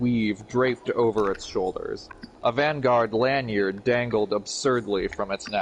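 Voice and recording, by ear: Someone reads aloud in a natural voice, the pitch moving in an ordinary way.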